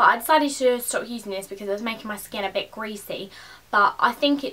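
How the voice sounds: A woman's voice of medium pitch with a fairly bright tone, fairly even intonation and a fairly quick pace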